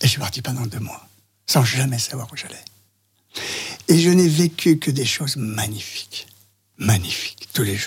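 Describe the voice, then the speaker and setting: At a fairly slow pace, a man speaks somewhat breathily at medium pitch, with lively intonation, big swings in loudness and long, frequent pauses. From France, Lyon area. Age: 70s. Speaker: interview guest recounting his life. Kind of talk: personal testimony interview. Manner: halting.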